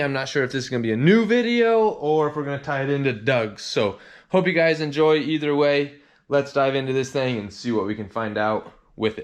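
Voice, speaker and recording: A man with an unremarkable speaking voice talks at a fairly high pitch. His pace is fairly quick over a quiet background. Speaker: car mechanic and video host. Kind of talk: workshop vlog tutorial. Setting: home garage. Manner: casual, filler-heavy.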